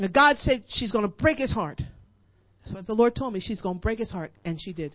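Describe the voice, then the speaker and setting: Her pitch fairly high, a woman talks at a moderate pace with lively intonation, big swings in loudness and long, frequent pauses. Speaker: guest preacher and worship leader. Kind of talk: sermon, building to impassioned exhortation with congregation call-and-response. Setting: church service before a live congregation. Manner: hammering, repetitive drive, piling up 'you push it in' with rising intensity.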